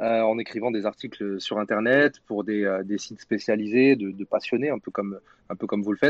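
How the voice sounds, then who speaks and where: With ordinary pitch variation, the man uses an ordinary speaking voice and keeps a moderate pace. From Paris region (Saint-Denis). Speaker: football media co-founder. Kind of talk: podcast interview and debate.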